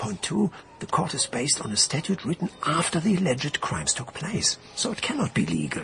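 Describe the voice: Over faint background noise, a man puts on a character voice at a fairly high pitch, with vocal fry, very wide pitch swings, a fairly bright tone and a moderate pace.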